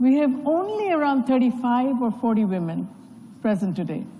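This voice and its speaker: A loud, dark, mellow tone with lively intonation at a fairly slow pace, plus audible room echo. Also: woman. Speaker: panel moderator. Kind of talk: panel moderation speech. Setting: conference stage with audience.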